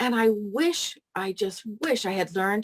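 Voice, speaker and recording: A woman with an American accent uses a normal speaking voice, fairly high in pitch with lively intonation, recorded dry and close with no echo. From US Pacific Northwest, Seattle. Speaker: editor and publisher. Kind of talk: casual group video chat introduction.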